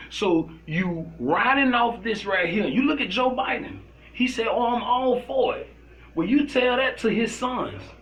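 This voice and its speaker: Amid noticeable background noise and audible room echo, a man with an American accent speaks at a fairly slow pace in an animated tone, his pitch extremely high for a man with ordinary pitch variation. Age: 40s. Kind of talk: casual chat.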